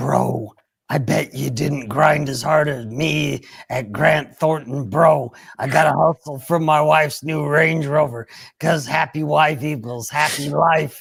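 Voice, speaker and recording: A man uses a raspy, put-on character voice at a fairly high pitch. He delivers it at a fairly slow pace. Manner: goofy, bro-like.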